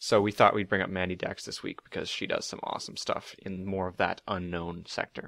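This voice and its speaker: A man with a very deep, low voice talks at a fairly quick pace in a flat monotone, with hardly any pauses. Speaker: podcast co-host, community admin. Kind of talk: casual podcast chat.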